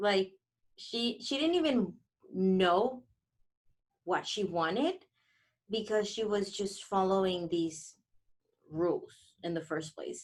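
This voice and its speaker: A woman with a non-native accent speaks at a very slow pace, with long, frequent pauses. Her intonation is lively. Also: medium pitch for a woman. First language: not English. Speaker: podcast co-host. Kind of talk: casual chat. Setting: podcast room studio.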